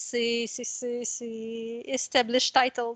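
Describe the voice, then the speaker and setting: A woman speaks in a high pitch with a bright, sharp tone, the sound dry and close with no echo. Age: young. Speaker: fantasy novelist. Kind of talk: casual interview chat. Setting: home office, remote call.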